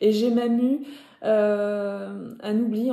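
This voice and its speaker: This woman speaks with a northern French accent. Her pitch is medium. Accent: Ch'ti (northern French). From northern France (Nord). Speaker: knitting podcaster. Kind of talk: casual vlog talk to viewers. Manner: hesitant, many fillers (euh).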